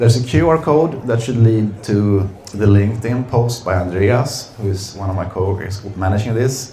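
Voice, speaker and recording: Amid noticeable background noise and audible room echo, a man speaks at a moderate pace with a fairly low pitch and ordinary pitch variation. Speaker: company executive. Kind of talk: seminar presentation. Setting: seminar room with audience. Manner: hesitant, many fillers.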